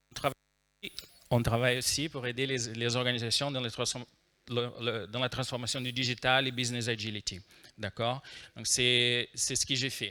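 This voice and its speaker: Recorded very cleanly against a silent background, a man with a Brazilian accent speaks at a medium pitch in a bright, sharp tone. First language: Portuguese (speaking French). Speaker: agile trainer and consultant. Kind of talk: conference talk. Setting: stage with audience. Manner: hesitant, many fillers.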